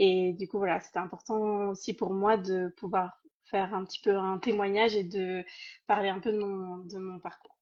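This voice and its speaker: Against a quiet background, a woman of medium pitch speaks at a moderate pace with flat, monotone intonation and big swings in loudness. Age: 30s. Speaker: program participant giving testimony. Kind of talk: testimony.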